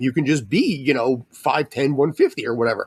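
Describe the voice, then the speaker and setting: A man with an American accent and a normal speaking voice, fairly high in pitch with ordinary pitch variation, at a moderate pace, on a very clean recording with a silent background and a dry, close sound with no echo. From US, San Francisco Bay Area. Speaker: sportswriter. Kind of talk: casual interview chat.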